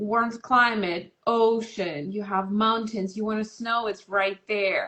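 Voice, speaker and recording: The woman's fairly high voice, with fairly even intonation, moves at a very slow pace. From Russia. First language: Russian. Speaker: massage and touch therapist. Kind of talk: interview. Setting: Instagram live video call.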